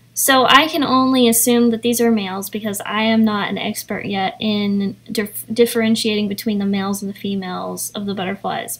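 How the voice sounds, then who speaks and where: A woman with an American accent speaks at a moderate pace and a fairly high pitch. Her voice is somewhat breathy, with fairly even intonation. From East Tennessee. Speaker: artist and YouTuber. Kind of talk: vlog narration with reading aloud. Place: garden. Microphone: phone near.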